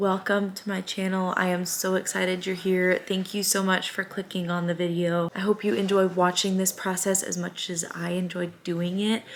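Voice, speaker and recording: Speaking in an American accent with noticeable background noise, a woman keeps a monotone, flat intonation at medium pitch and a moderate pace, with hardly any pauses. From US Midwest, Springfield, Missouri. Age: 20s. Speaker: small business owner and vlogger. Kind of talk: casual vlog chat. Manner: casual, many filler ums.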